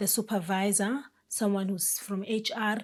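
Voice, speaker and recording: A somewhat breathy woman's voice at a medium pitch. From South Africa. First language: a South African Bantu language. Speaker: career advice YouTuber. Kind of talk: casual advice talk to camera.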